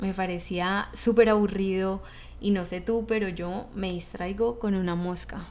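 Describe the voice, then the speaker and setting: Audible room echo surrounds a woman at a medium pitch. She talks at a fairly slow pace in a flat monotone. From Bogotá, Colombia. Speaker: podcast host and leadership coach. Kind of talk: solo motivational podcast talk.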